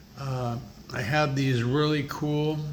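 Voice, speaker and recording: A man at a very slow pace, monotone and flat, with audible room echo and noticeable background noise. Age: 60s. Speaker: leukemia patient vlogger, former delivery driver. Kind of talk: casual vlog. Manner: halting, many fillers.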